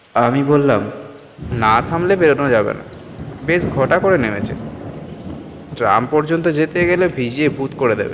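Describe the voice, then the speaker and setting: The intonation is lively. Noticeable background noise runs under the voice. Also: man, fairly high pitch for a man. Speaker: audio story narrator. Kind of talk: horror story narration, first-person reading.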